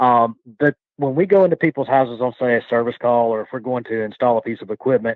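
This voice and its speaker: With a Southern US accent, a man speaks. His pace is very fast. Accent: Southern US (Georgia). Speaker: HVAC contractor. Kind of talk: podcast discussion.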